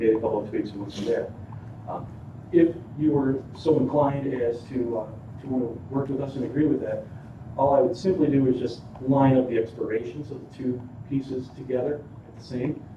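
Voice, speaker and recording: Over noticeable background noise and audible room echo, a man with an Inland North accent talks at a fairly quick pace with fairly even intonation. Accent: US Midwestern (Inland North). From northern Illinois. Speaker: solar developer representative. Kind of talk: presentation to city council. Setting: city council meeting. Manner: fast.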